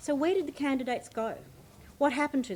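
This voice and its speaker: Speaking is a woman with an Australian accent. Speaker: debate chair. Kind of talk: formal speech.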